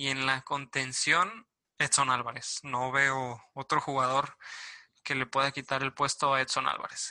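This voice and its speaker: A man speaks here. His tone is bright and sharp. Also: quiet background. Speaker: sports podcast host. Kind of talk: casual chat.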